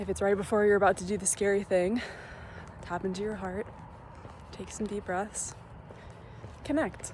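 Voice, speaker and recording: Soft-spoken, a woman talks at a moderate pace with long, frequent pauses over noticeable background noise. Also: medium pitch for a woman, fairly even intonation. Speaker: lifestyle vlogger. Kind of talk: vlog monologue. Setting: outdoors.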